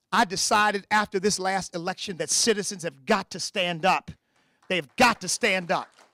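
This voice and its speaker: With an American accent, the speaker uses a raised, projected voice with a bright, sharp, animated tone. The pace is moderate and the sound is dry and close with no echo. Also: man, high pitch for a man. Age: 60s. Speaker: political candidate. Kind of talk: campaign speech.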